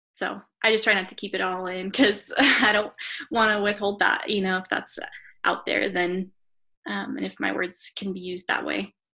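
A woman with an American accent speaks in a bright, sharp tone with vocal fry, ordinary pitch variation and long, frequent pauses. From US West (northern Colorado). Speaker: photographer and writer. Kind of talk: interview.

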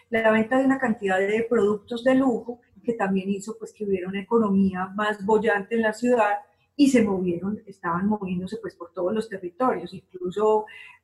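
Her voice is fairly high and somewhat breathy. The woman keeps her intonation fairly even. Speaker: short story writer. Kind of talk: interview.

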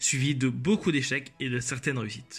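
A somewhat breathy man at medium pitch and moderate pace, on a very clean recording with a silent background. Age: 20s. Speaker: podcast host, law student. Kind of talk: solo podcast introduction. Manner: scripted, formal.

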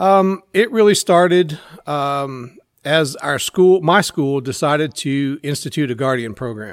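In an American accent, a man speaks fairly slowly with a fairly high pitch and lively intonation, using an unremarkable speaking voice. The recording is very clean, with a silent background. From Central Texas. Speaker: shooting instructor and school teacher. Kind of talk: casual interview.

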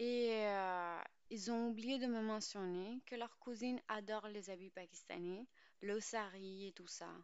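A woman speaks very slowly, her intonation fairly even. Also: fairly high pitch for a woman. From Pakistan. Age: 20s. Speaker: podcast host. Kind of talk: scripted narration.

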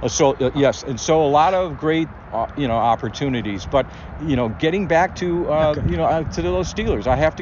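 A man with an American accent speaks at a moderate pace, his pitch medium and his intonation lively. Background noise is noticeable. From Cleveland, Ohio. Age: 60s. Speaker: podcast host, former sports reporter. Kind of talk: casual interview chat.

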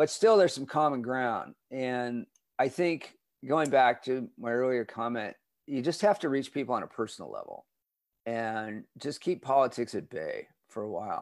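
With a Californian accent, a man speaks at a moderate pace in a medium pitch, his intonation lively. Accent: Californian American. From Southern California (Redondo Beach). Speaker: communication professor. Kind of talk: interview. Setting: video call.

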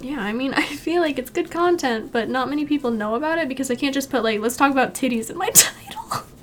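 Over noticeable background noise, a woman with a high pitch speaks at a very fast pace with hardly any pauses and ordinary pitch variation. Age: 20s. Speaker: digital artist and streamer. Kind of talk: casual chat.

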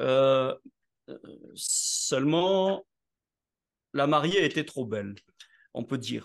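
A man with a fairly high voice talks very slowly with lively intonation and long, frequent pauses. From southern France (Nice). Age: 60s. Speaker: network marketing entrepreneur and speaker. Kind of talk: interview.

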